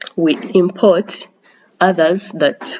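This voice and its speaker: A woman speaks in a fairly low voice whose pitch rises and falls in an ordinary way. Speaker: economics teacher. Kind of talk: lecture. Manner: hesitant, many fillers.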